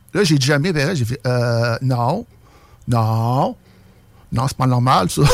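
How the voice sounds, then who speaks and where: The speaker talks at a very slow pace with long, frequent pauses and ordinary pitch variation. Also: man, medium pitch for a man. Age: 40s. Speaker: UFO witness. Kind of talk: testimony.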